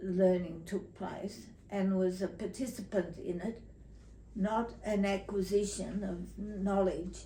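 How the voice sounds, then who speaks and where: A woman with an Australian accent, monotone and flat, at a very slow pace. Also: medium pitch for a woman. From Tasmania, Australia. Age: 80s+. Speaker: retired teacher. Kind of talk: interview answer.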